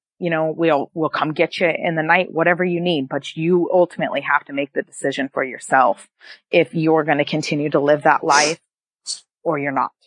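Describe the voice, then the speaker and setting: At a fairly quick pace, a woman talks in a very deep, low pitch with fairly even intonation, recorded in a dry, close sound with no echo. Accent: slight northern US. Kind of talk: casual interview, personal storytelling.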